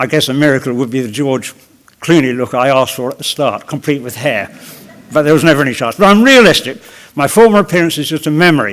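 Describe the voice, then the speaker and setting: Talking at a very fast pace, this man has a fairly high pitch and lively intonation. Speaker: patient. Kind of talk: prepared speech. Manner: avoids b sounds due to jaw loss.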